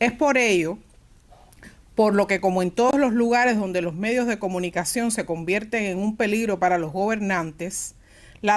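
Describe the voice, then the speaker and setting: Speaking in a Cuban accent at a moderate pace, a woman of medium pitch shows ordinary pitch variation. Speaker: panelist at a press freedom forum. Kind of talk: forum presentation. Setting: forum at an institute venue.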